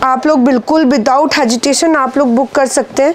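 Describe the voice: A woman speaks fairly slowly in a high voice with ordinary pitch variation. There is faint noise in the background.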